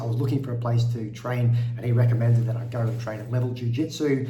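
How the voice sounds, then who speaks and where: Against noticeable background noise, a man talks at a medium pitch and a moderate pace. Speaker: podcast host. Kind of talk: podcast intro.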